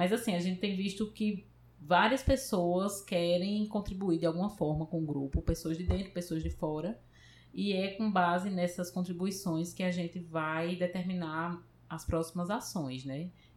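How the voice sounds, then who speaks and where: A woman's fairly low, somewhat breathy voice moves at a fairly slow pace, its pitch varying in an ordinary way. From Paraíba, Brazil. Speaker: computer science professor. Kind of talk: interview.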